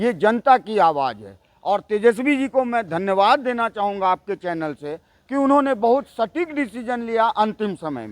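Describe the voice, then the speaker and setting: A man with a high pitch talks with lively intonation, hardly any pauses and big swings in loudness. The sound is dry and close, with no echo. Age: 50s. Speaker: party supporter. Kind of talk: street interview.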